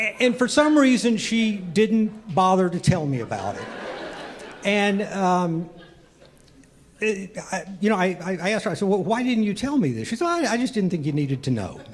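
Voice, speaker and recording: A man speaks at a moderate pace in a high pitch with lively intonation. Audible room echo surrounds the voice. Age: 60s. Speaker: amateur stand-up comedian. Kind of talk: stand-up. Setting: comedy club stage with audience. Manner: halting, many fillers and repeats.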